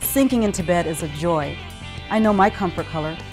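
Clear music plays behind a woman who speaks at a moderate pace. Her pitch varies in an ordinary way. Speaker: voice actor. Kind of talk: TV commercial read. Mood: warm, friendly, upbeat. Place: studio.

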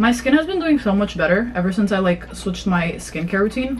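A woman at a very fast pace over light background noise. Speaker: lifestyle vlogger. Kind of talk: casual vlog chat. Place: home room. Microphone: phone near.

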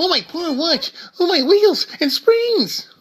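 The put-on character voice moves through its lines at a fairly slow pace. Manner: pained, pleading, fussy.

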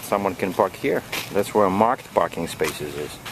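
A man talks at a fairly low pitch with ordinary pitch variation. The sound is dry with no echo, though noticeable background noise is present. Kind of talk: casual vlog chat. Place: street. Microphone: phone near.

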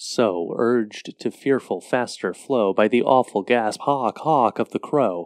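In a dry, close sound with no echo and a quiet background, a man uses a dramatic tone at a medium pitch, speaking at a fairly slow pace with ordinary pitch variation. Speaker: poetry performer and host. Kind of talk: poem performed, reading aloud. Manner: dramatic, eerie, slow and measured.

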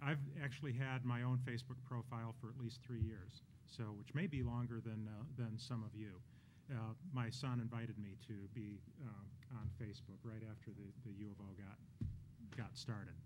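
A man speaks at a moderate pace with fairly even intonation and a somewhat breathy voice over noticeable background noise. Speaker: panelist. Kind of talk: panel presentation. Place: hall. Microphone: podium.

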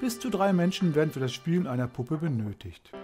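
The speech moves at a fairly quick pace with very wide pitch swings. Music sounds in the background. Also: man. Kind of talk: travel documentary narration.

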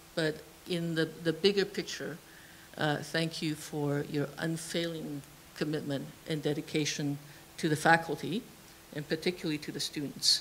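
Over light background noise, a woman speaks in a very deep, low pitch with monotone, flat intonation and long, frequent pauses. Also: moderate pace. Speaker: engineering professor. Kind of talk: formal vote of thanks. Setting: stage with audience. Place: classroom. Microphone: handheld.

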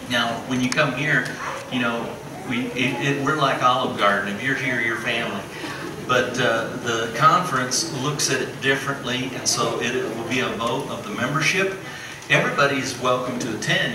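Noticeable background noise and audible room echo around speech at a moderate pace. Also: man. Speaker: pastor. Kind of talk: church announcements. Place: church. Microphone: camera far.

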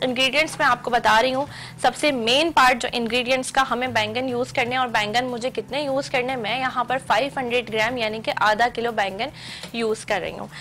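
Against light background noise, a woman with a high voice speaks at a fairly slow pace with fairly even intonation. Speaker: cooking show host. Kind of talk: tutorial. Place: studio.

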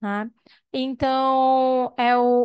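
In a quiet background, a woman with a high pitch speaks in a dry sound with no echo. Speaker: psychologist. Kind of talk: audience comment. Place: meeting room. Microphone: handheld.

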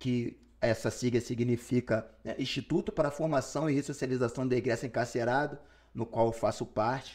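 Man at medium pitch and moderate pace, fairly even intonation, quiet background, an unremarkable speaking voice. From Rio de Janeiro, Brazil. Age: 40s. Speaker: rapper and writer; interview guest. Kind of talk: interview. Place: studio. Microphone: studio mic.

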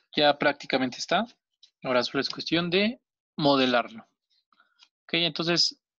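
Against a quiet background with a dry, close sound and no echo, a man with a fairly high pitch speaks at a moderate pace with ordinary pitch variation. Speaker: origami teacher. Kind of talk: tutorial. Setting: video call.

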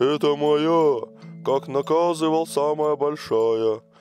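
Faint music plays behind a man using a fairly high-pitched put-on character voice at a fairly slow pace. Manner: demanding, hearty laughing.

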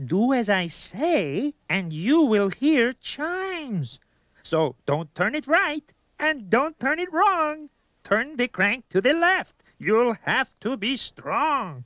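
This cartoonish character voice has a fairly high pitch, very wide pitch swings and a very slow pace. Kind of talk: rhyming children's educational video. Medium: puppet.

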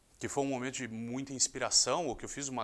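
A bright, sharp, fairly high-pitched male voice at a fairly quick pace. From Rio de Janeiro, Brazil. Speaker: sports journalist. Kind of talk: interview monologue. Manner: casual, conversational. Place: studio. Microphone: lapel.

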